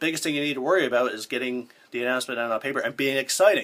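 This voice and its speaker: A man's voice, medium-pitched, at a very fast pace. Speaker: pro wrestling ring announcer. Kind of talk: casual talk to camera, tutorial.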